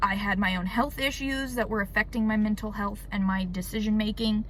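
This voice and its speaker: Room echo is audible as a woman speaks at a moderate pace with fairly even intonation. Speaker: YouTuber. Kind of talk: personal testimony.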